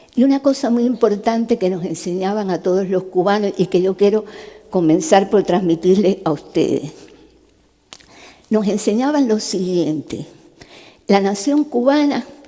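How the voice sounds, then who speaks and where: Pitched at a medium level, a woman speaks fairly slowly with lively intonation and long, frequent pauses. There is noticeable background noise. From Cuba. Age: 70s. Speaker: neurosurgeon and human rights activist. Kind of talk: testimony talk to a youth summit. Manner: conversational.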